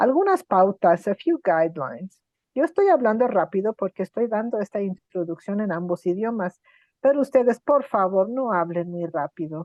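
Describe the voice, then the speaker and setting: Lively intonation from a woman at medium pitch and a fairly quick pace. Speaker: interpreter. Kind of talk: event instructions. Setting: video call. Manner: fast.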